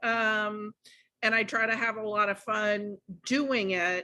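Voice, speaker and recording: Loud and bright, sharp in tone, a woman with a fairly high pitch speaks with fairly even intonation. The recording is very clean, with a silent background. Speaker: podcast host, childcare consultant. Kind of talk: casual podcast chat.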